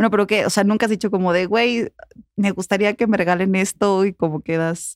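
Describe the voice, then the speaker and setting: A plain, everyday voice moves at a fairly quick pace with fairly even intonation and very even loudness, the sound dry and close with no echo. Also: woman, medium pitch for a woman. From Puebla, Mexico. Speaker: podcast host. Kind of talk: casual interview.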